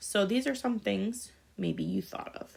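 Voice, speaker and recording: Recorded very cleanly with a silent background, the speech moves at a fairly quick pace. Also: woman. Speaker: school teacher. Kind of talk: recorded lesson. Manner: fast.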